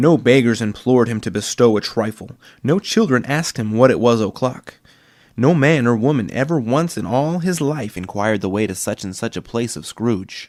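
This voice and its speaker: In a very clean recording with a silent background, a man with an ordinary speaking voice speaks at medium pitch and a moderate pace with lively intonation. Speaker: aspiring voice actor. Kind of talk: audiobook narration.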